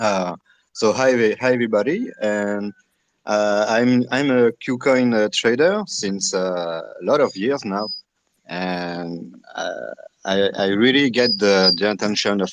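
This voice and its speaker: In a French accent, a man speaks at a very slow pace with a fairly low pitch and ordinary pitch variation. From France. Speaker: crypto trader. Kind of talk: casual group discussion. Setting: online audio chat room. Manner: halting.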